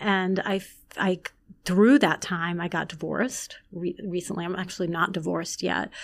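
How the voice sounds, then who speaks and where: With a New York accent and vocal fry, a woman speaks at a fairly slow pace and fairly low pitch, with ordinary pitch variation, in a very clean recording with a silent background. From Long Island, New York. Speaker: former magazine editor and writer. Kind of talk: casual chat.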